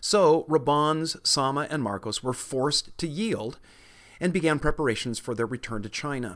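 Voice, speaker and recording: Against a quiet background, a man with a fairly high pitch speaks at a moderate pace in an unremarkable speaking voice. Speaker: history podcast narrator. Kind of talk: history documentary narration. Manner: measured, even-paced, formal storytelling.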